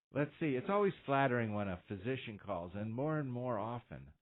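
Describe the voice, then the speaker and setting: A man's medium-pitched voice at a moderate pace, with lively intonation. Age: 60s. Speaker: radio host and orthopedic doctor. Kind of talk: call-in radio advice show. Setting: radio studio. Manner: halting, many fillers.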